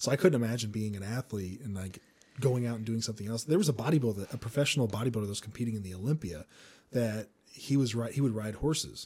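Very fast male speech, somewhat breathy, at medium pitch with ordinary pitch variation. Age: 30s. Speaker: podcast host. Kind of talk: casual interview chat.

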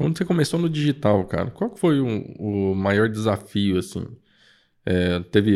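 A man with a plain, everyday voice, fairly low pitch and lively intonation at a fairly slow pace, on a very clean recording with a silent background. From Campo Grande, Mato Grosso do Sul, Brazil. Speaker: podcast host. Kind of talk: podcast interview. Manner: casual, laughing often.

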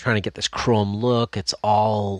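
A man with a normal speaking voice and a fairly low pitch is captured on a very clean recording with a silent background and a dry, close sound with no echo. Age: 50s. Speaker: costume prop maker and YouTuber. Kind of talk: casual chat.

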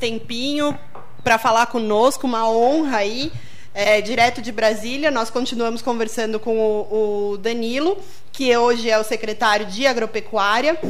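Fairly high-pitched speech from a woman with fairly even intonation, plus audible room echo and music in the background. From Rio Grande do Sul, Brazil. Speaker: radio host. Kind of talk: radio interview. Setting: radio studio.

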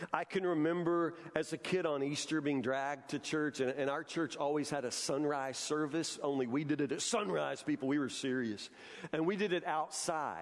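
Using an ordinary speaking voice, a man with fairly high pitch and ordinary pitch variation talks at a moderate pace with very even loudness and hardly any pauses. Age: 50s. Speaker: pastor. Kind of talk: sermon. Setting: church. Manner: repetitive false starts.

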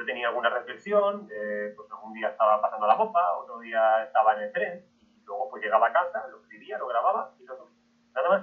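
Fairly quick pace with big swings in loudness. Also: man. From Spain, southern Madrid region. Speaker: history podcaster. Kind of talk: interview talk to an audience.

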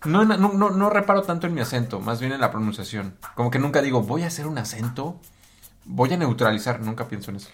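A man's somewhat breathy, medium-pitched voice, very fast, with very wide pitch swings. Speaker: podcast host. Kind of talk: casual chat.

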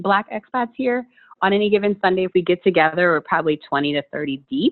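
Fairly quick, medium-pitched speech from a woman, a normal speaking voice. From US Mid-Atlantic (DC area). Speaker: entrepreneur, meditation coach. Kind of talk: casual interview chat.

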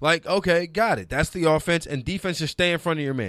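A man with an ordinary speaking voice and an American accent talks at a fairly quick pace and fairly high pitch. His pitch varies in an ordinary way, and the recording is very clean with a silent background. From New Orleans, raised partly in Detroit. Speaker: sports TV producer. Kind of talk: casual chat. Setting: studio.

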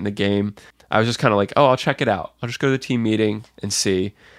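The recording is very clean with a silent background and a dry, close sound with no echo. The voice shows ordinary pitch variation. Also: man. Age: 20s. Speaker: medical student. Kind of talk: interview testimony. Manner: halting.

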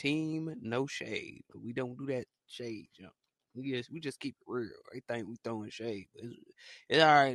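Recorded dry and close with no echo over a quiet background, a man speaks in a bright, sharp tone. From Alabama. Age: 20s. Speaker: podcast host. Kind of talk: casual chat. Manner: animated.

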